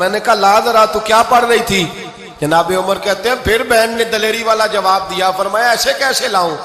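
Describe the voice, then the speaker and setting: A man's raised, projected voice at a high pitch, amid noticeable background noise. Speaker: Islamic scholar and preacher. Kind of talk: religious sermon. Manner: passionate, devotional.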